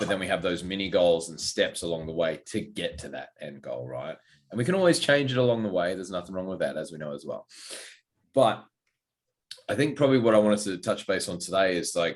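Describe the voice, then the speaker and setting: Talking at a very fast pace, a man with an Australian accent uses a very deep, low pitch, lively intonation and big swings in loudness. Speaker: fitness coach and podcast co-host. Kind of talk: casual podcast chat. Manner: loud, outgoing.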